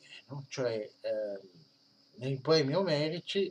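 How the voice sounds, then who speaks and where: A man at a very slow pace, with light background noise. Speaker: history of religions teacher; history of religions lecturer. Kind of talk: lecture. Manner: halting, many fillers. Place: home room. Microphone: webcam.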